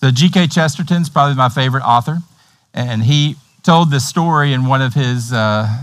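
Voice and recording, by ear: A man with a Tennessee accent at a moderate pace. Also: medium pitch for a man, ordinary pitch variation. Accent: Tennessee, American South.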